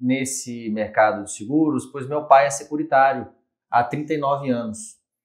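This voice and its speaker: This man speaks at a fairly high pitch. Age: 30s. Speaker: insurance brokerage franchise owner. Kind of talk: interview.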